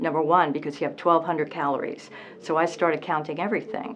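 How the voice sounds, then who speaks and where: Over light background noise, a woman with a very deep, low pitch speaks at a fairly quick pace. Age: 60s. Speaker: weight loss patient. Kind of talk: interview answer. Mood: earnest, positive. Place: office.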